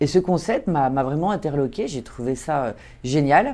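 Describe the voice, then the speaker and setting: A woman speaks at a fairly quick pace in a very deep, low pitch with a dark, mellow tone. Her pitch variation is ordinary. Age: 40s. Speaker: social selling entrepreneur. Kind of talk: interview testimony.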